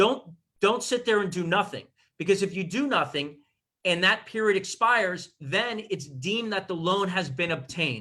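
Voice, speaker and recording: A man's raised, projected voice with an American accent, high in pitch and bright and sharp in tone. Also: lively intonation. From Miami, Florida. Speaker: real estate attorney. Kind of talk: expert advice in livestream interview. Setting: Zoom livestream. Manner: fast.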